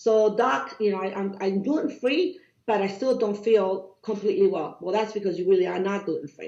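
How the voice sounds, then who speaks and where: A woman talks at a fairly quick pace in a Cuban accent. Her pitch is medium, with ordinary variation. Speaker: doctor. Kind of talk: podcast interview. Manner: animated.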